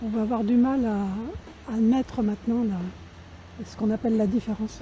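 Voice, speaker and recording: Somewhat breathy and dark and mellow in tone, a woman's fairly high voice moves at a fairly slow pace with fairly even intonation and big swings in loudness. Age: 70s. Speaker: activist. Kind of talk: interview.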